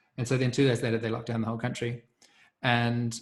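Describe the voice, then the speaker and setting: With a New Zealand accent, a man talks in a somewhat breathy voice. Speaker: community facilitator. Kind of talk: group video call discussion.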